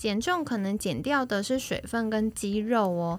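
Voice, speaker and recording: Her pitch is fairly high, with ordinary variation. This woman speaks at a fairly slow pace. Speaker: health manager podcast host. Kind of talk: casual chat. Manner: animated.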